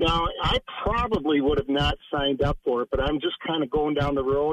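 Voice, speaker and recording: A man talks in an ordinary speaking voice with an American accent at a moderate pace. His pitch sits fairly high and his intonation is lively. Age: 60s. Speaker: caller. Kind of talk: casual chat. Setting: phone call.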